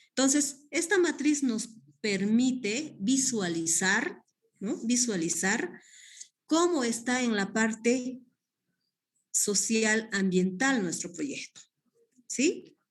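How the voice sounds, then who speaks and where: A woman talks very slowly at a fairly high pitch, with long, frequent pauses and very wide pitch swings. The room echo is audible. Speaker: guest lecturer on community development. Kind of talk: online class lecture. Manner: hesitant, many fillers.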